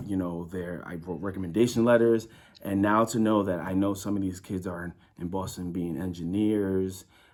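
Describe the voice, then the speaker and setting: The speaker is a man with an American accent. His pitch is very deep and low. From New York City (Brooklyn). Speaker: youth program worker. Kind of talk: interview testimony. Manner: halting.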